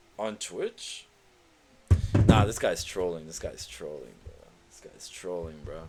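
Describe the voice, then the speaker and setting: A man speaks at a fairly slow pace as music plays in the background. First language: not English. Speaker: gaming streamer. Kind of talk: live stream commentary. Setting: live stream. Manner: animated.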